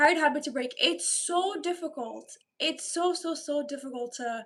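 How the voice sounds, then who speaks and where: Speaking fairly slowly, a woman sounds animated and bubbly, her intonation lively. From Romania, then Ireland from about age 10. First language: Romanian. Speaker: live streamer. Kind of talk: casual live-stream chat reading viewer comments. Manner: animated, bubbly.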